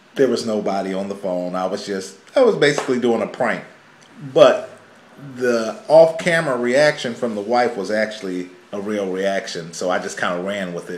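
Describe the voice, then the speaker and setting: A man at a moderate pace, fairly low in pitch with ordinary pitch variation, with audible room echo and light background noise. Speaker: family vlogger. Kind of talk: casual vlog chat. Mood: joking, playful explanation. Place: home room. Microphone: camera far.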